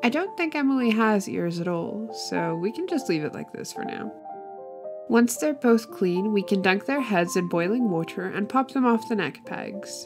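Music plays in the background as a woman talks at a medium tempo. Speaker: doll customizer. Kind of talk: tutorial. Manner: spaced out.

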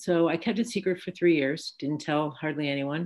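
Against a quiet background, a woman with a very deep, low pitch talks at a moderate pace with ordinary pitch variation. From US Midwest. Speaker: physician and Parkinson's advocate. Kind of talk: panel discussion. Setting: video call. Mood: reflective, candid. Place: home room. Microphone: video call.

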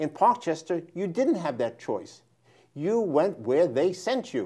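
Against a quiet background, a man with a New York accent and a dark, mellow tone speaks at a moderate pace with very wide pitch swings. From New York, the Bronx. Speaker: history professor and author; history professor. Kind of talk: interview. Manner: halting. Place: studio. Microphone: lapel.

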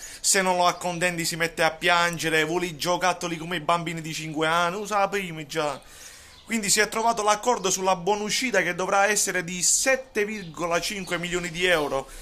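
Loud and at a fairly quick pace, a man speaks in a high pitch with a bright, sharp tone and fairly even intonation. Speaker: football commentator and Juventus fan vlogger. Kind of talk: angry rant. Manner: loud, sarcastic and mocking, ranting with emphatic repetition. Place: kitchen. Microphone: phone near.

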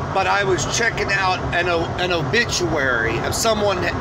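A man's very slow speech over loud background noise. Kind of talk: casual vlog chat about faith. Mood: earnest, preachy. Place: car. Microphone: phone near.

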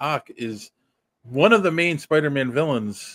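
A man's voice, dry with no echo, against a quiet background. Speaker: podcast host. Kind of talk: casual podcast commentary. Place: home room. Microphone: studio mic.

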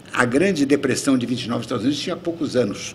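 A man speaks with a somewhat breathy voice. There is light background noise behind him. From Brazil, Rio de Janeiro. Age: 80s+. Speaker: retired ambassador, diplomat; guest lecturer. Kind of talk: lecture. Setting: auditorium with audience. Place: hall. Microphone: podium.

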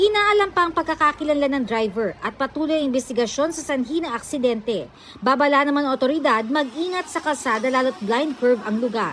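Noticeable background noise sits under a woman speaking at a very fast pace with hardly any pauses. Her voice is high-pitched, with lively intonation. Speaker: TV news reporter. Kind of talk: news reading. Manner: formal.

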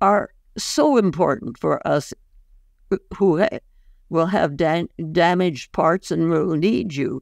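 Against a quiet background, with a dry sound and no echo, a woman talks at a very slow pace with lively intonation and vocal fry. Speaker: podcast guest. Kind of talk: interview answer. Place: home room. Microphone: video call.

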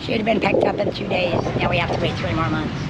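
There is clear background noise as a woman speaks at a fairly quick pace.

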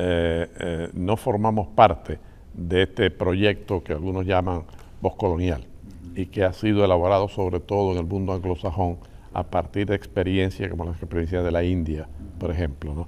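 A man speaks with a very deep, low voice. His pace is moderate and his intonation fairly even. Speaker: interviewee. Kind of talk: interview answer. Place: studio.

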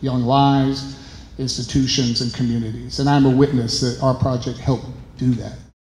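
Room echo is audible. There is light background noise. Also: man. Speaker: artist. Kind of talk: exhibition talk. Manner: animated. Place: hall. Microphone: handheld.

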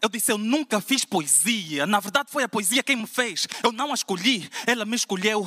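A man's high, raised, projected voice at a fairly quick pace, with ordinary pitch variation and a quiet background. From Portugal. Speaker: slam poet. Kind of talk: spoken word poetry performance, rhymed and rhythmic. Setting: stage with audience at a slam final. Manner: impassioned, declamatory, rhythmic with punchy rhymes; emphatic, building in intensity toward a rousing close. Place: church.

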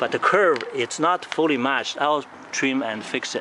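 Noticeable background noise sits behind a man's voice. The sound is dry with no echo. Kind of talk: casual show-and-tell commentary. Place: street. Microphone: phone near.

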